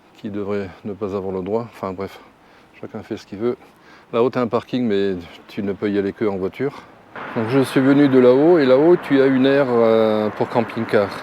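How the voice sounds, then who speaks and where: At a moderate pace, a man speaks at a medium pitch with ordinary pitch variation and long, frequent pauses. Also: big swings in loudness. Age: 60s. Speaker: travel vlogger, retiree. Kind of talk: casual vlog talk to camera. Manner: hesitant, many fillers.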